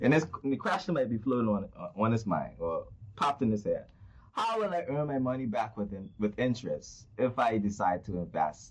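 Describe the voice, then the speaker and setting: In a normal speaking voice, a man talks at a moderate pace and medium pitch with lively intonation. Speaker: podcast host. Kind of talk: casual interview.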